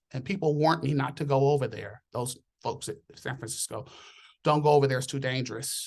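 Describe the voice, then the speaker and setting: A man's somewhat breathy, fairly high-pitched voice in an American accent, with fairly even intonation. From Southern California. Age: 60s. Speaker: nurse. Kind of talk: casual chat.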